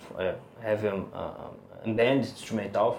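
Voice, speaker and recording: A man with a Brazilian Portuguese accent speaks at a fairly slow pace, his intonation fairly even, over noticeable background noise. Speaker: bass player. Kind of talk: interview. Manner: halting.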